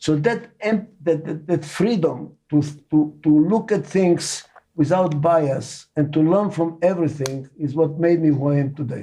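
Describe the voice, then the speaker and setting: A man with a non-native accent talks at a fairly slow pace, his pitch fairly high with ordinary variation. Music plays in the background. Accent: foreign accent in every language. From Israel. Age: 80s+. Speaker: management consultant and author. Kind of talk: interview.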